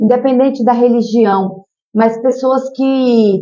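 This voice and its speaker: In a strong Piauí accent, a woman speaks at a very slow pace with ordinary pitch variation. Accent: Piauí accent, kept strong. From Piauí, Brazil. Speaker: social worker and mayoral candidate. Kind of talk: interview. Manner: animated.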